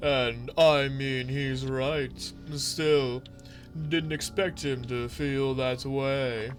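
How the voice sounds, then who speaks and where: Over clear background noise, a man uses a put-on character voice at a medium pitch and a very slow pace. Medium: solo performance. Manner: hesitant, casual.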